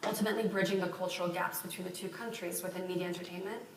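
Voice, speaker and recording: With an American accent and a medium pitch, a woman speaks amid noticeable background noise and audible room echo. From France and Texas. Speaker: entrepreneur, keynote speaker. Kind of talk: keynote speech. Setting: conference stage with audience.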